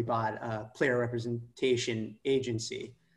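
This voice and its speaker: A man with an American accent speaks at a fairly slow pace in a somewhat breathy voice at a medium pitch. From California, Palo Alto. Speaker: football fan and former club board candidate. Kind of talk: casual interview.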